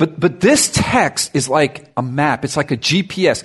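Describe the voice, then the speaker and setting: A man's somewhat breathy, fairly high voice in an animated tone. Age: 50s. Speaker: pastor. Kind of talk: sermon.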